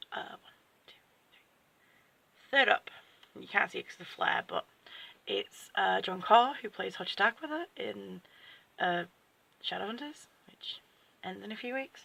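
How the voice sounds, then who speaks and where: Long, frequent pauses break up speech delivered in an English accent. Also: moderate pace. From England. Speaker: book vlogger. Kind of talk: unboxing video chat. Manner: casual, with fillers and restarts.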